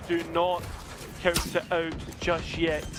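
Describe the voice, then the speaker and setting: This man speaks with a Scottish accent at a high pitch. Noticeable background noise runs behind him. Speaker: esports caster. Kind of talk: live commentary.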